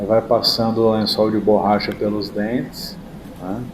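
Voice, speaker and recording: Against noticeable background noise, a man with a fairly low pitch speaks at a fairly slow pace. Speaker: dentist. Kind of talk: tutorial. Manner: casual.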